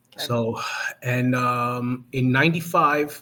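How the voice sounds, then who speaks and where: At a very slow pace, a man of medium pitch talks with a strong New Jersey accent. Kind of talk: interview answer.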